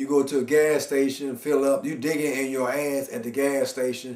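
A man at a moderate pace, with audible room echo. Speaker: comedian. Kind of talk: comedic monologue rant. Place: home room. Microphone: camera far.

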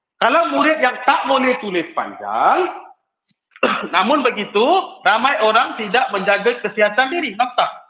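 A man's extremely high, bright and sharp voice, raised and projected, with lively intonation at a fairly slow pace, audible room echo and a quiet background. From Malaysia. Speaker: teacher giving a workshop talk. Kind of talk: online workshop lecture. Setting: video call. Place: classroom.

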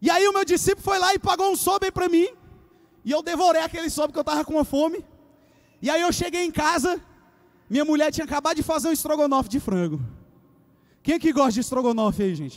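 Loud and animated, a man talks at a very fast pace in an extremely high pitch with ordinary pitch variation and long, frequent pauses. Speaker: youth pastor preacher. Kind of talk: sermon to a live church congregation, with call-and-response. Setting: church with live audience. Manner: animated, loud, exhorting the crowd with urgent repeated commands; conversational and joking, with a casual youthful tone. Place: church. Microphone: handheld.

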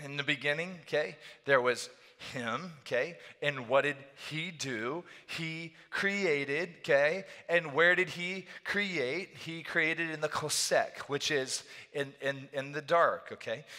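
A man talks at a very slow pace with ordinary pitch variation. The background is quiet. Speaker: pastor. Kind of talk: sermon. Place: church. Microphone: headset.

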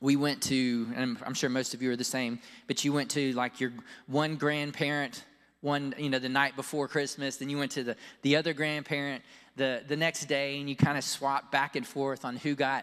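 A man speaks at a moderate pace in a monotone, flat intonation. The background is quiet. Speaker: pastor. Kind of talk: sermon. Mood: warm, storytelling. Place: church. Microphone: handheld.

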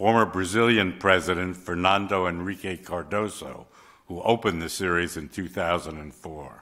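A man with a very deep, low voice and a bright, sharp tone speaks with ordinary pitch variation against a quiet background. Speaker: journal editor and moderator. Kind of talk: event moderation. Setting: stage with audience. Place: hall. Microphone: podium.

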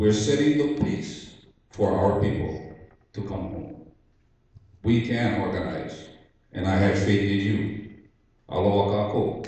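Strong room echo carries a man's fairly low-pitched voice at a fairly slow pace with long, frequent pauses. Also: ordinary pitch variation. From Hawaii, Oahu; Hawaii. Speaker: Hawaiian sovereignty activist. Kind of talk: public testimony. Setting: public hearing in school cafeteria. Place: hall.

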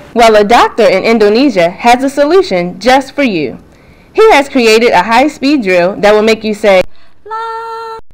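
A woman speaks high-pitched and upbeat at a fairly slow pace. Noticeable background noise runs under her voice. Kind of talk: parody TV infomercial read. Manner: upbeat, salesy.

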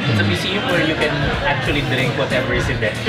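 Loud music plays in the background. A man is speaking. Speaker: bartender or host giving a tour. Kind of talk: guided tour explanation. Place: bar.

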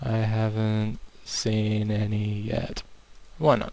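This is a man speaking. His pitch sits fairly low. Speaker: gaming video creator. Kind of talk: gameplay commentary. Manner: more animated than usual.

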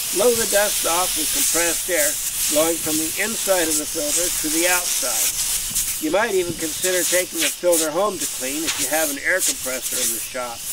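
A man talks at a moderate pace with ordinary pitch variation. The sound is dry with no echo, but loud background noise is present. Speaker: sawmill instructor. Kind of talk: tutorial. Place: open country.

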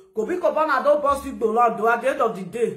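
A woman is heard with audible room echo. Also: quiet background. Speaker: social media commentator. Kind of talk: casual vlog rant. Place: home room. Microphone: phone near.

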